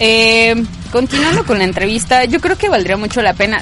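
Noticeable background noise surrounds a woman whose intonation is lively. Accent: Mexican. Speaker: radio host. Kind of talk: radio show hosting. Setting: radio studio.

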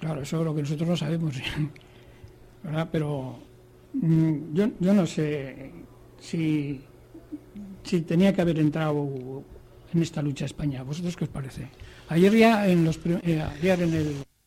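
Fairly slow and broken by long, frequent pauses, a man's voice carries fairly high pitch and a dark, mellow tone. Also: ordinary pitch variation. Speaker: radio show presenter and moderator. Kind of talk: moderated radio panel chat.

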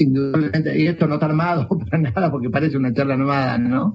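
Fairly high in pitch for a man, his is a plain, everyday voice that varies in pitch in an ordinary way. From Jujuy, northern Argentina. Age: 50s. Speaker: traveler. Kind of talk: casual chat.

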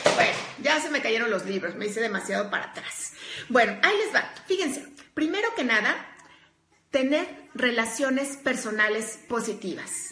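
With audible room echo, a woman speaks at a moderate pace in a high pitch, her intonation lively and her tone animated. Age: 40s. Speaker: workplace coach and speaker. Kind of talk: live stream talk.

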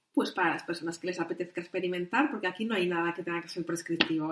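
Through noticeable background noise, a woman with a medium pitch talks at a very fast pace. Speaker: midwife and sexologist. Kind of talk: interview.

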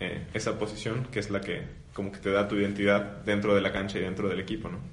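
Audible room echo surrounds a man as he talks. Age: 20s. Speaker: seminarian. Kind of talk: casual chat.

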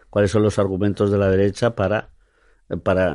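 Against a quiet background, a man with a dark, mellow tone talks at a fairly low pitch and a fairly quick pace. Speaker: theatre director. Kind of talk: interview. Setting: studio.

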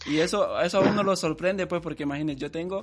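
Fairly quick and fairly even in intonation, a man speaks over a quiet background. He has a plain, everyday voice. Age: 20s. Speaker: podcast host. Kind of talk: interview.

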